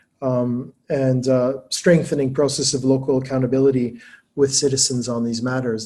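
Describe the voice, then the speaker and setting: At a fairly quick pace, a man speaks in a medium-pitched, somewhat breathy voice with a dark, mellow tone. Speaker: academic presenting his book. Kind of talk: webinar lecture. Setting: online webinar. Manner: fast; hesitant, many fillers.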